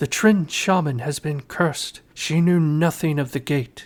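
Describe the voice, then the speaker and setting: Putting on a character voice, a man talks at a moderate pace in a fairly high pitch, recorded very cleanly against a silent background. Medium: read story. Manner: cold, defiant.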